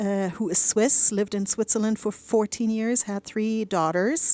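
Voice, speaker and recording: A woman with a slight German accent speaks at a fairly high pitch with fairly even intonation. The recording is very clean, with a silent background and a dry, close sound with no echo. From Germany. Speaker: radio co-host. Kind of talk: casual radio chat.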